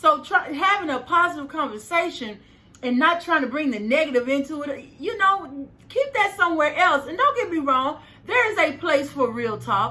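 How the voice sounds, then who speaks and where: The voice is raised and projected, bright and sharp, with an animated tone, lively intonation and a moderate pace. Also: woman, high pitch for a woman. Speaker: life coach and video host. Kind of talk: motivational vlog monologue. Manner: high-pitched at times.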